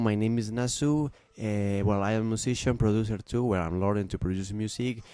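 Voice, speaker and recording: In a Peruvian accent, a man speaks at a fairly quick pace with a dark, mellow tone and fairly even intonation. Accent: Peruvian Spanish accent, non-native English. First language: Spanish. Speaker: musician and music production student. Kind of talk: tutorial. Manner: halting, many fillers and restarts.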